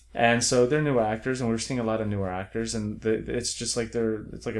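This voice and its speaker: A man with an American accent has an ordinary speaking voice at a medium pitch. His intonation is fairly even and his pace moderate. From South Florida then Orange County, California. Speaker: film writer and director. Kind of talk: casual interview chat.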